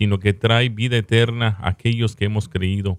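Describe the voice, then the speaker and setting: A man talks at a moderate pace in a plain, everyday voice of medium pitch. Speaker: radio host. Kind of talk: radio show hosting. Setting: studio.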